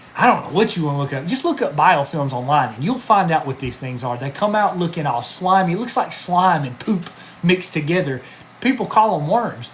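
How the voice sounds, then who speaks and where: The speaker goes at a fairly quick pace over noticeable background noise. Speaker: health coach. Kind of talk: live stream talk answering viewer questions. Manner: animated.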